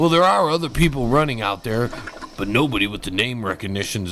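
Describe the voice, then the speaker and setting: Over noticeable background noise, a man talks fairly quickly with lively intonation. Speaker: comedian. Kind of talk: mock news anchoring.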